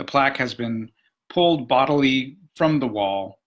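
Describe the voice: Lively intonation in plain reading aloud, quiet background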